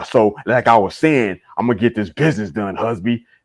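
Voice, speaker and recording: Someone puts on a gruff character voice and speaks at a fairly quick pace. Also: man, medium pitch for a man. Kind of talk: casual. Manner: assertive, tough.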